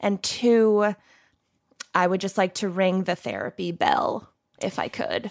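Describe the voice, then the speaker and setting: Speaking with an American accent, a woman uses a medium pitch and ordinary pitch variation at a fairly slow pace, with long, frequent pauses and a dry, close sound with no echo. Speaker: true crime podcast co-host, guest. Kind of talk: casual chat.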